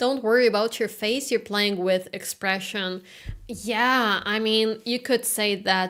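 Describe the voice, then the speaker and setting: A woman with a slight non-native accent at a fairly slow pace. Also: very clean recording, silent background. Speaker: classical guitarist streamer. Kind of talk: casual live-stream chat. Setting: live stream. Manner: halting.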